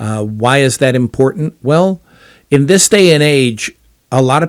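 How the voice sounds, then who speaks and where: The recording of this man is very clean, and the background is silent. His sound is dry and close, without any echo. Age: 60s. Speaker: podcast host. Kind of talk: casual monologue. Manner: halting, many fillers.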